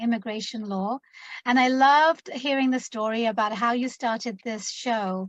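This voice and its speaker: Using an English accent, a woman speaks at a moderate pace with a fairly high pitch and fairly even intonation. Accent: British (English). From London, England. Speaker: immigration attorney. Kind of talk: interview.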